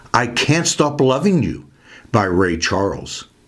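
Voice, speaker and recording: Vocal fry in a man's voice, pitch swinging very widely. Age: 70s. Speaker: music video host. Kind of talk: scripted narration.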